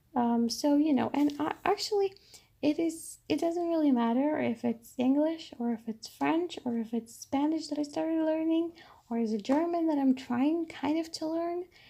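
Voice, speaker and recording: With a Polish accent, a woman speaks at a high pitch in a dark, mellow tone. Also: ordinary pitch variation, moderate pace. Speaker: bullet journal vlogger. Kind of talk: tutorial. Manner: halting.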